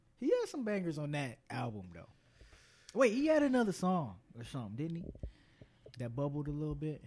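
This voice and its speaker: Somewhat breathy, a man talks with very wide pitch swings. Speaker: podcast host. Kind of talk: casual banter.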